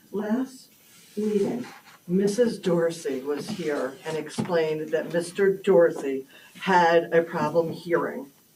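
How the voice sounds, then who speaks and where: Very slow delivery with ordinary pitch variation over noticeable background noise. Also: woman. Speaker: resident speaking at public comment. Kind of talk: heated debate. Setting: town board meeting room. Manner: loud; animated.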